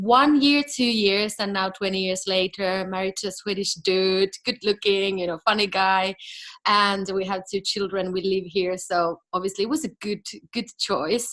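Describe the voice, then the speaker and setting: Moving at a moderate pace, the speaker has a bright, sharp tone. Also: woman. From Finland. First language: Finnish. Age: 30s. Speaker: business coach and entrepreneur. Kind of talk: interview.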